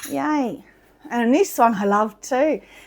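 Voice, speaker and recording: Speaking loudly and very slowly with lively intonation, a woman talks in an Australian accent. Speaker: potter. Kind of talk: casual chat. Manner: animated. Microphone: mic close due to high shirt neck.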